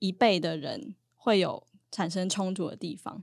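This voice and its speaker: A woman's medium-pitched voice at a fairly slow pace, a normal speaking voice with ordinary pitch variation, dry and close with no echo, on a very clean recording against a silent background. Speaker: university student, student union officer. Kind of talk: casual interview.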